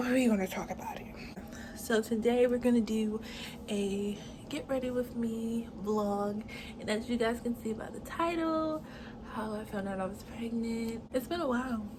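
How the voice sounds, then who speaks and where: Over noticeable background noise and audible room echo, a woman talks at a moderate pace with ordinary pitch variation. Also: fairly high pitch for a woman. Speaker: lifestyle vlogger. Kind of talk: get-ready-with-me vlog. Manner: casual, chatty; soft, near whisper.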